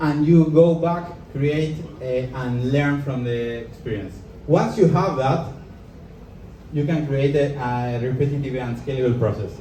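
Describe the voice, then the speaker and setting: A man speaks with a fairly high voice. There is noticeable background noise and audible echo in the room. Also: ordinary pitch variation, fairly slow pace. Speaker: entrepreneur and speaker. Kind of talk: live talk to an audience. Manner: halting.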